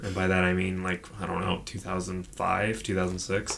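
Over noticeable background noise, a man with a very deep, low voice speaks at a fairly slow pace. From Edmonton, Alberta, Canada. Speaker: podcast host. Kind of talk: casual chat, podcast discussion of horror films.

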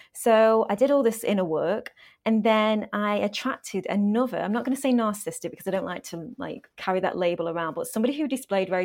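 With an English accent, a woman of medium pitch speaks fairly quickly with ordinary pitch variation in a very clean recording with a silent background. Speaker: author and life coach. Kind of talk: interview.

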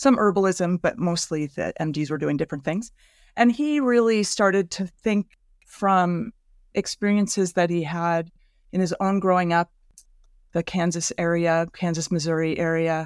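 This woman has a plain, everyday voice, fairly low in pitch with ordinary pitch variation. The very clean recording has a silent background and a dry, close sound with no echo. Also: moderate pace. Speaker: bodywork therapist and teacher. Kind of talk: interview podcast.

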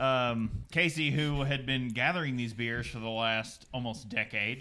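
A man with a Southern US accent talks at a medium pitch, with ordinary pitch variation. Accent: Southern US drawl, still present. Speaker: beer podcast co-host. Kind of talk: scripted narration; casual chat. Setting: live stream. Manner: animated.

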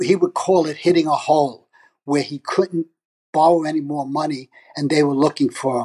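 A man with a New York accent speaks at a moderate pace with a fairly high pitch and a dark, mellow tone. His intonation is fairly even, and the sound is dry and close with no echo. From New York (Brooklyn). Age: 70s. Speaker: retired father sharing his story. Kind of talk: personal storytelling.

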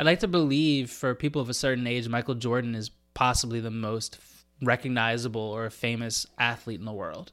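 A man with an unremarkable speaking voice talks at a medium pitch and a fairly quick pace, his intonation fairly even. The recording is very clean, with a silent background. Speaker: sports podcast co-host. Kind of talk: casual chat.

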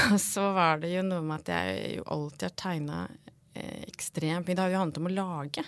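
A normal speaking voice moves at a moderate pace with ordinary pitch variation on a very clean recording with a silent background. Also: woman. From Norway, Hedmark (near Lillehammer). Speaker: art and fashion historian. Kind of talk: casual interview chat. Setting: podcast studio.

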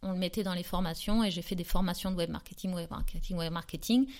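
A woman's unremarkable speaking voice at a medium pitch, with fairly even intonation. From southern France, near Aix-en-Provence. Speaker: entrepreneur, former schoolteacher. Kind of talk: casual interview.

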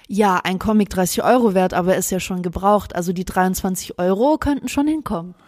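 A woman's ordinary speaking voice at medium pitch, moderate pace, ordinary pitch variation and hardly any pauses. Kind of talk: casual chat. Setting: home recording, sitting close together. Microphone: very close to the mic.

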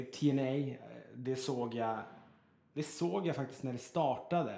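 Audible room echo surrounds a man who speaks at a very slow pace with long, frequent pauses. His tone is dark and mellow, with ordinary pitch variation. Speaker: radio host. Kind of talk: casual chat. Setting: in an apartment.

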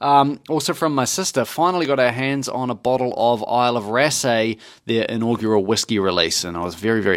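Here is a man with an ordinary speaking voice, talking at medium pitch with lively intonation. He moves at a fairly quick pace with hardly any pauses, on a very clean recording with a silent background. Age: 30s. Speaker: podcast co-host. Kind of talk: casual chat.

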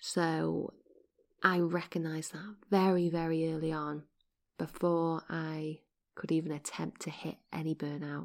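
Speaking at a fairly slow pace, a woman keeps her low pitch with little movement.

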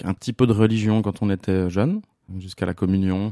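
With a dark, mellow tone and fairly low pitch, a man speaks at a fairly quick pace in a monotone, flat intonation, the sound dry and close with no echo. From Switzerland, La Chaux-de-Fonds (Neuchâtel). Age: 30s. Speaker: stage technician. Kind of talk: personal testimony interview. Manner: hesitant, many fillers and repetitions.

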